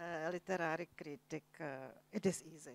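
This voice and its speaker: A woman with a Czech accent, dry and close-miked with no echo at all. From Czech Republic, Prague. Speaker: novelist. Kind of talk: moderated literary conversation on stage. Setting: festival stage with audience. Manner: halting, searching for English words.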